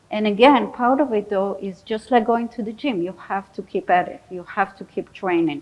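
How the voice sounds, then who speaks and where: The speaker uses ordinary pitch variation and talks with a non-native accent. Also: woman. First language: not English. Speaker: psychologist. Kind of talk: audience Q&A; lecture.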